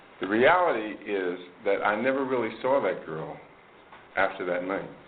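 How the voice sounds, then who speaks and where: Music plays in the background and the room echo is audible. A man speaks at a moderate pace with a fairly low pitch and ordinary pitch variation. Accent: American. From New Jersey, Maplewood. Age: 60s. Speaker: AA speaker. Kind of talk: recovery talk to a meeting audience. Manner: conversational, many fillers.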